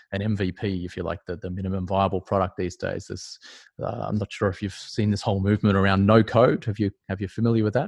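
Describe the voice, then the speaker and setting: Someone with an Australian accent talks at a fairly quick clip. The sound is dry and close with no echo, over a quiet background. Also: man. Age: 40s. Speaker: startup advisor. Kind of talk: interview. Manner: halting, many fillers.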